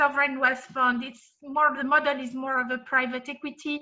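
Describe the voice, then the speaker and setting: A woman speaks in a raised, projected voice with a French accent, her tone bright and sharp and her pitch high. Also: quiet background. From France. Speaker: compensation and benefits consultant. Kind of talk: presentation. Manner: hesitant, many fillers.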